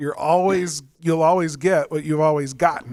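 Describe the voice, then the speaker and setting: A man's fairly high voice, a plain, everyday voice, at a fairly slow pace with ordinary pitch variation. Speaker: podcast host. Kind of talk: podcast interview talk.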